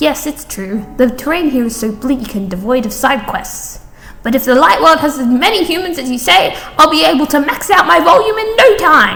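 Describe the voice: Putting on a character voice, a woman speaks high, bright and sharp at a moderate pace, with lively intonation, vocal fry and audible room echo.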